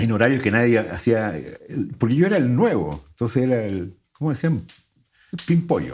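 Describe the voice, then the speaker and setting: Using vocal fry and very wide pitch swings around a medium pitch, a man speaks with long, frequent pauses. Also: moderate pace. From Chile. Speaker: radio announcer and voice-over artist. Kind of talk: interview answer.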